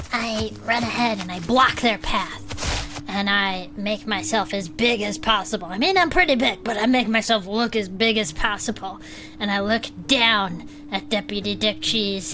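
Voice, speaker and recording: A woman performs a put-on character voice at medium pitch and a moderate pace. Clear music plays behind her. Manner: threatening.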